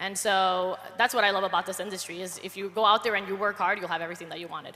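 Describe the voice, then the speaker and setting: The speech comes at a very fast pace in a Spanish accent. Its loudness swings widely. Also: woman, medium pitch for a woman. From Colombia. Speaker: network marketer. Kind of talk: panel testimony. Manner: animated.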